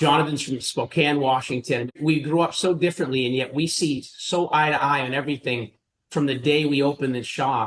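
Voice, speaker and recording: A man with a Boston accent, at a fairly quick pace and with fairly even intonation. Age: 50s. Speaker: private equity investor. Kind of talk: interview.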